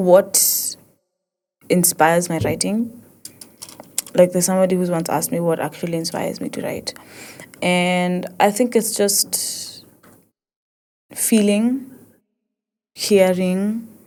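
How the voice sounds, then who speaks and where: A woman with an East African accent, a dark, mellow tone and medium pitch, at a fairly slow pace with long, frequent pauses and ordinary pitch variation. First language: Swahili. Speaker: podcast host, poet. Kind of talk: casual podcast monologue. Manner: halting, many restarts.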